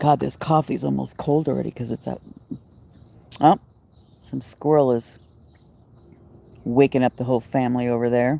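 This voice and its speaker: A woman speaks at a moderate pace with a very deep, low pitch and a dark, mellow tone. Her intonation stays fairly even, broken by long, frequent pauses. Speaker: livestreamer. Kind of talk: casual chat. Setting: outdoors.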